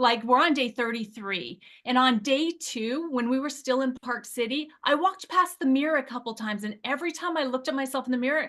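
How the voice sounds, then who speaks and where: Animated and fairly quick, a woman speaks in a high, bright, sharp voice with ordinary pitch variation. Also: quiet background. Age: 50s. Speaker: weight loss product user sharing results. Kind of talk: testimony.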